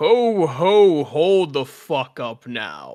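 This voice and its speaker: A man does a put-on character voice at a high pitch. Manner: gruff, abrupt.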